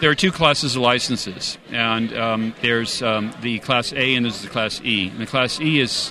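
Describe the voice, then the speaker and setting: With noticeable background noise behind him, a man speaks at a medium pitch in an American accent. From California. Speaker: amateur radio society representative. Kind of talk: interview at convention.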